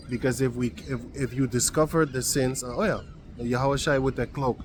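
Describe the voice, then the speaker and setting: A man with a non-native accent talks at a medium pitch and a moderate pace, with ordinary pitch variation. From Suriname. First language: not English. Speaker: Bible teacher. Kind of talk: bible study talk. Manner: halting; casual.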